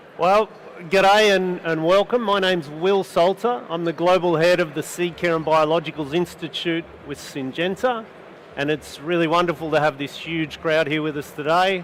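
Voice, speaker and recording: In an Australian accent, a man with a high pitch speaks at a moderate pace with fairly even intonation over noticeable background noise. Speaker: panel moderator, seed company institute lead. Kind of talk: panel discussion. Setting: studio with live audience.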